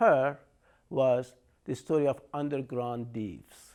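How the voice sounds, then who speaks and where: The speech comes at a very slow pace with an Iranian accent. Its tone is dark and mellow. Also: man. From Iran, Shiraz. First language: Persian. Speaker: artist and storyteller. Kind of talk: lecture. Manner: halting.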